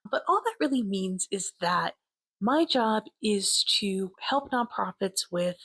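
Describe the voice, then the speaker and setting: With an American accent, a woman speaks fairly slowly in a fairly high, somewhat breathy voice with lively intonation, the sound dry and close with no echo. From New York (Westchester). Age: 40s. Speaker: nonprofit data consultant. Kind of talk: casual self-interview video.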